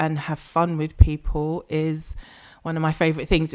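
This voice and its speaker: Speaking at a moderate pace, this woman has a very deep, low pitch. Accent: South London. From South London, Croydon. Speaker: business mentor and pricing strategist. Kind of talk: interview.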